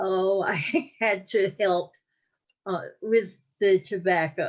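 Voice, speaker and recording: Speaking very slowly with an American accent, a woman uses a medium pitch and ordinary pitch variation. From US South, North Carolina (Wake County). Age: 80s+. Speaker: oral history interviewee. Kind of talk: interview. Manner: halting, many fillers.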